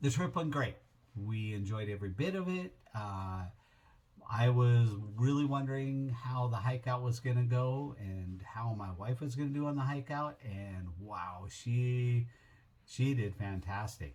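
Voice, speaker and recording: A man with a plain, everyday voice talks at a fairly slow pace with ordinary pitch variation. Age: 60s. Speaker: travel vlogger. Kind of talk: casual trip recap. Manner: relaxed, with many fillers.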